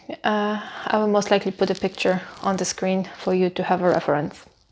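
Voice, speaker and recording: A woman speaks with a non-native accent at a medium pitch. Her pace is moderate. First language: not English. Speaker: book reviewer. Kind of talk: casual vlog review. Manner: hesitant, many fillers.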